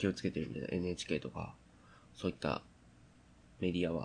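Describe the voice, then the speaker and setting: A man speaks with a very deep, low pitch and vocal fry. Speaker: podcast host. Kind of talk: solo casual talk. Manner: halting, many fillers.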